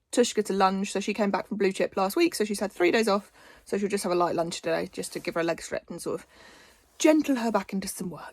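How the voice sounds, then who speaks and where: In an English accent, a woman speaks at a fairly quick pace with a medium pitch and ordinary pitch variation. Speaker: equestrian vlogger. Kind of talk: casual vlog.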